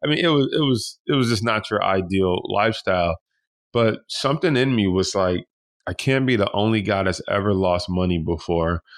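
A man's unremarkable speaking voice with an American accent, fairly low pitch, lively intonation, very even loudness and a moderate pace. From Detroit. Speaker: stock trader and investor. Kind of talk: interview.

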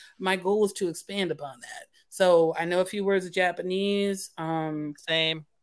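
A woman with an American accent speaks in a normal speaking voice at medium pitch and a moderate pace, her intonation fairly even, her loudness swinging widely, and hardly any pauses. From US, Philadelphia. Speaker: author. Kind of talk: casual chat. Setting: remote video call.

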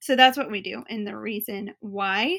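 A woman is speaking with an American accent. Her tone is bright and sharp. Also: very clean recording, silent background. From Boston, Massachusetts. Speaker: podcast host and rental business owner. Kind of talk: educational business podcast monologue. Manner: conversational, explanatory.

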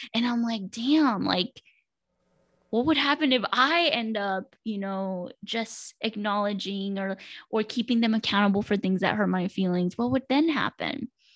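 A woman with an American accent and a plain, everyday voice, fairly high in pitch, with ordinary pitch variation and a fairly slow pace. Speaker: mental health counselor. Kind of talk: casual interview.

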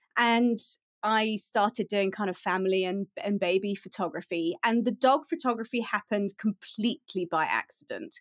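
A woman with a British accent at a medium pitch and moderate pace, ordinary pitch variation, dry and close with no echo, on a very clean recording with a silent background. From UK. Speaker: pet photographer. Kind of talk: interview.

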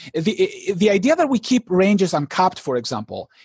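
A man speaks with a non-native accent and lively intonation. The sound is dry and close with no echo. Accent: foreign-accented English. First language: not English. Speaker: poker author and educator. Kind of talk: interview. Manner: halting.

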